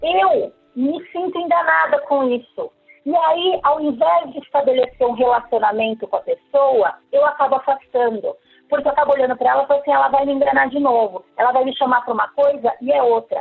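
With lively intonation, the words come at a fairly quick pace. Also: woman, high pitch for a woman. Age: 40s. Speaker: lawyer and entrepreneur. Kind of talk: podcast interview.

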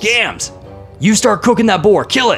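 Using a put-on character voice, a man speaks at a moderate pace with a high pitch while clear music plays in the background. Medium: actual play. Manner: hearty, boisterous.

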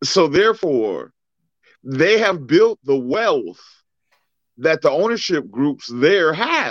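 Against a quiet background, a man with an American accent speaks at a very slow pace, leaving long, frequent pauses. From US Midwest, inner-city Cleveland, Ohio. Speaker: co-host, father and military veteran. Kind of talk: casual chat.

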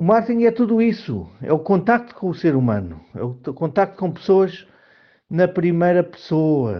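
A high-pitched man in a Lisbon accent, with lively intonation at a moderate pace. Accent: European Portuguese (Lisbon area). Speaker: marketing professional. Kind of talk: personal monologue. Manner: halting.

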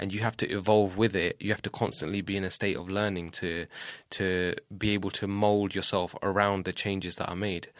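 A man speaks in a southern English accent at a fairly quick pace. His pitch is fairly low, and the recording is very clean with a silent background. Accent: southern English (Luton), British Punjabi. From England, Luton. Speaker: rapper. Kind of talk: casual chat. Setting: studio.

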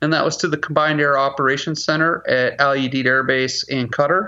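A man talks with an American accent. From Washington State, US. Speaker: military public affairs officer. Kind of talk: interview.

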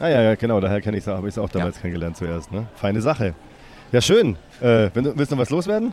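Rattling along at a very fast pace, a man talks in a fairly low pitch. His intonation is lively. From Stuttgart area, Germany. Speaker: podcast host. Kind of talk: casual chat.

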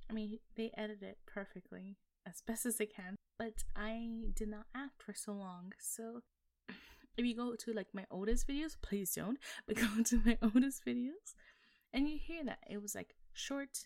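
A woman talks in an unremarkable speaking voice at a fairly high pitch and a moderate pace. Her pitch varies in an ordinary way, while her loudness swings widely. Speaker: voice actor. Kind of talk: casual chat.

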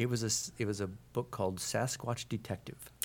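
This is a normal speaking voice with an American accent and ordinary pitch variation, in a very clean recording with a silent background. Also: man. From Portland, Oregon, US. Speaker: comic book artist and writer. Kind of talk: live interview. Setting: comic convention panel room.

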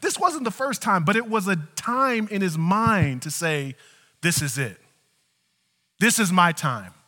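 With a bright, sharp tone, a man raises and projects his high voice at a fairly slow pace, swinging very widely in pitch and taking long, frequent pauses, on a very clean recording with a silent background. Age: 40s. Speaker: pastor. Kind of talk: sermon.

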